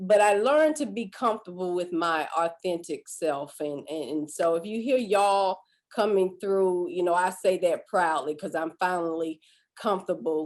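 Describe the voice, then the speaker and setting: Her Southern US accent comes through as the woman speaks in a fairly low pitch with ordinary variation. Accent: Southern drawl. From US South, south Georgia (Valdosta). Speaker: life coach and former family therapist. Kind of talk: webinar talk. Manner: drawn-out words; halting, many fillers.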